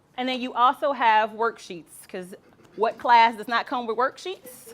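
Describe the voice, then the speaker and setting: A woman with a fairly high pitch and ordinary pitch variation speaks with big swings in loudness. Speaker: relationship workshop leader. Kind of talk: seminar presentation. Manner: fast.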